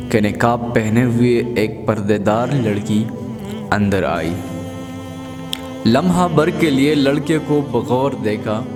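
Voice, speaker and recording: With music playing behind him, a man speaks at a medium pitch with ordinary pitch variation. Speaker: narrator. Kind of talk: quote narration.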